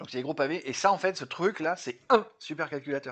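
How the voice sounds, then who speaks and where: Against a quiet background, the words come at a moderate tempo. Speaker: YouTuber explaining computing history. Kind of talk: casual explainer video. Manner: hesitant, many fillers.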